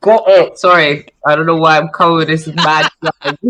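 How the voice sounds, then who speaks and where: A woman talks with a Scottish accent and ordinary pitch variation. The sound is dry and close, without echo. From Scotland, Edinburgh. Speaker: model, actress and comedian. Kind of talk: casual chat.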